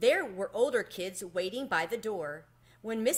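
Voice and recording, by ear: Someone reads aloud in a natural voice.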